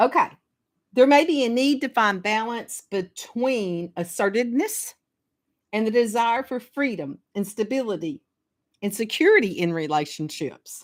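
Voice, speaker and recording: Over a very clean recording with a silent background, a woman with a Southern US accent speaks at a moderate pace in a fairly high pitch with very wide pitch swings. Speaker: astrologer. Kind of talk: casual talk on astrology. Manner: halting, repeats words.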